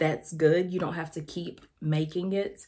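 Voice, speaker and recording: In a very clean recording with a silent background, a woman with a Southern US accent speaks in a relaxed tone that is dark and mellow. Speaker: lifestyle and devotional vlogger. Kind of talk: casual vlog tutorial. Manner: conversational, relaxed.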